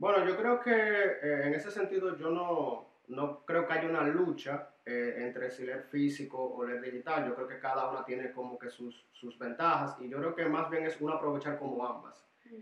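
Noticeable background noise accompanies a man with a fairly high pitch. He speaks at a moderate pace with ordinary pitch variation and hardly any pauses. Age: 20s. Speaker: church youth discipleship leader. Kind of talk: casual interview chat. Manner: hesitant, with fillers.

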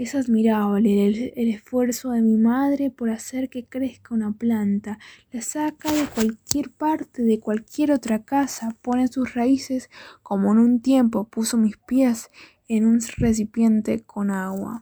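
A woman's gentle tone, fairly high pitch and very slow pace, on a very clean recording with a silent background. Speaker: poet at open mic. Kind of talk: poetry reading at open mic. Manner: tender, gentle, unhurried, with a reflective tone.

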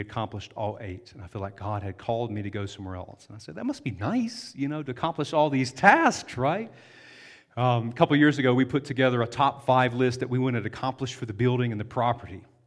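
A man talks very fast in a Southern US accent, with ordinary pitch variation. His loudness swings widely from moment to moment. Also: medium pitch for a man. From US South. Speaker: pastor. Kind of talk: sermon.

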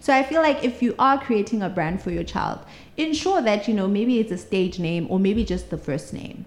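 Lively in intonation, a woman speaks at a medium pitch and moderate pace with vocal fry. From South Africa, Mpumalanga. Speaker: social media legal consultant. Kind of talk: interview conversation.

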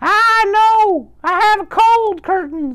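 A put-on character voice, squeaky and extremely high in pitch, drawls along at a very slow pace.

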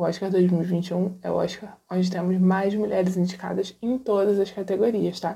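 Speaking at a medium pitch with a dark, mellow tone, a woman sounds somewhat breathy and keeps a monotone, flat intonation. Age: 30s. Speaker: feminist film blogger. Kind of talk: recorded monologue.

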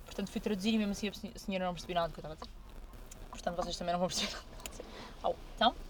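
Fairly even intonation comes at a very fast pace broken by long, frequent pauses. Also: woman, medium pitch for a woman. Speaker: podcast host. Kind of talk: casual chat. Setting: in a car.

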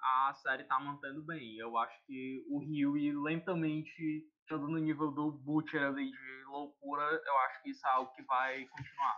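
With hardly any pauses, a man talks at a moderate pace in a fairly high, monotone, flat voice whose loudness swings widely. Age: 20s. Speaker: podcast panelist. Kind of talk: casual chat.

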